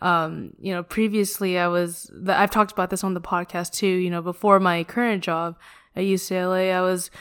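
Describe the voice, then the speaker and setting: On a very clean recording with a silent background, a woman with a plain, everyday voice speaks at a medium pitch and a moderate pace, with fairly even intonation. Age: 20s. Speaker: podcast host. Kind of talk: casual chat.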